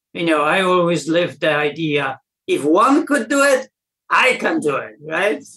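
In a Polish accent, a man speaks fairly slowly in a high, bright, sharp voice with very wide pitch swings. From Poland. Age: 60s. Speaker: weightlifting coach. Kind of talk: interview. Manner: halting.

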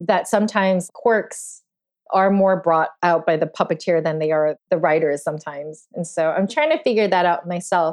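A woman with an American accent speaks in an ordinary speaking voice at a moderate pace, fairly low in pitch. Her intonation is fairly even, and the background is quiet. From New York City (Queens). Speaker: puppeteer. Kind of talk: interview.

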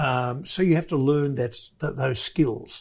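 Somewhat breathy and fairly high-pitched, a man speaks with an Australian accent. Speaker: business investor, former manufacturer. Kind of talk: interview. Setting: studio.

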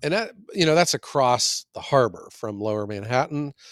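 This man has a normal speaking voice, medium pitch and lively intonation, and he talks at a moderate pace. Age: 50s. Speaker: firewood business owner, podcast co-host. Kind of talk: casual chat.

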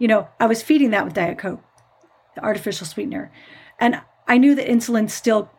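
A plain, everyday voice from a woman with an American accent, fairly high in pitch, with ordinary pitch variation. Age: 50s. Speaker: nurse podcast host. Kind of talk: solo podcast talk.

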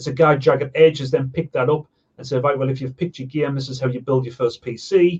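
Somewhat breathy, a man talks at a very fast pace in a dry, close sound with no echo. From northeast England, Sunderland. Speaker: online car magazine founder. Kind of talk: casual interview chat.

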